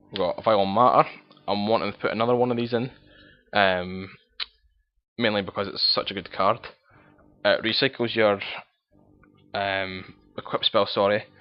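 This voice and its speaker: With a strong Scottish accent, a man with a fairly low pitch speaks at a moderate pace, with fairly even intonation and long, frequent pauses. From Scotland. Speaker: card game player. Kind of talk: casual deck profile talk to camera.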